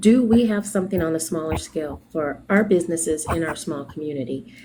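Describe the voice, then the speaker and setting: A woman speaks quietly at a fairly low pitch and a moderate pace. Noticeable background noise sits behind her. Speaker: small business owner. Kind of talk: casual chat. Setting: video call from a doctor's appointment. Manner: speaking quietly.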